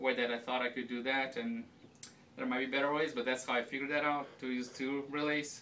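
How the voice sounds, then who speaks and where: Over light background noise, a man speaks with a bright, sharp tone and fairly even intonation. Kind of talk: casual tour explanation. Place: office. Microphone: camera far.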